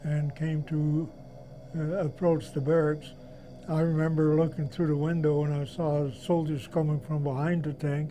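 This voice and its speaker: Over background music, a man speaks in a fairly high voice with flat, monotone intonation. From Netherlands. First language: Dutch. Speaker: Holocaust survivor. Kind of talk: testimony.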